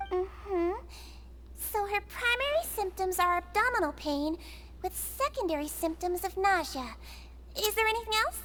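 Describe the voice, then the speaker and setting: A woman puts on a character voice with a gentle tone, speaking at a moderate pace with long, frequent pauses over clear background noise. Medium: video game. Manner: gentle, attentive, caring.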